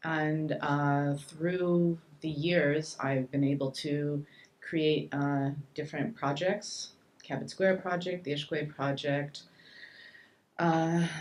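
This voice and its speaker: In a Montreal accent, a woman speaks very slowly with a very deep, low pitch and fairly even intonation. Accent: Canadian English, Montreal. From Montreal, Quebec (adopted from Saskatchewan). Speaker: shelter director and community activist. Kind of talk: panel talk.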